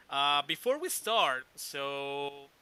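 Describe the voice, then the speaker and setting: Heard with a dry, close sound and no echo, a man speaks in a fairly high pitch with a bright, sharp tone. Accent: Mexican. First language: Spanish. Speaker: podcast host. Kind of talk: interview. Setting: live video stream. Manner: halting.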